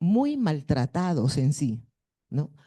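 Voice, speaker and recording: A woman with a northern Peruvian accent, dark, mellow in tone and very slow, over a quiet background. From northern Peru (Piura). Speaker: schoolteacher. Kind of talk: audience question at a conference.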